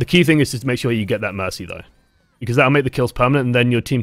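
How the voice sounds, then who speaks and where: The speaker is a man, and he talks very fast. Nothing can be heard behind him in this very clean recording. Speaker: game coach streamer. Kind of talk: live stream commentary and coaching. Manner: casual, filler-heavy.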